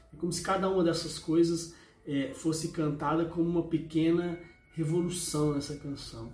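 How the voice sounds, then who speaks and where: Music plays in the background as a man talks at a moderate pace in a high pitch. His intonation is monotone and flat, with audible room echo. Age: 40s. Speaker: music reviewer. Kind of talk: casual spoken review. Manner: halting, many filler words.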